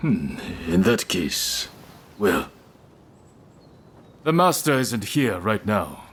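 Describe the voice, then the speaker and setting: In a put-on character voice, a man of medium pitch speaks at a very slow pace with long, frequent pauses and very wide pitch swings. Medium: video game. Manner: confident, challenging.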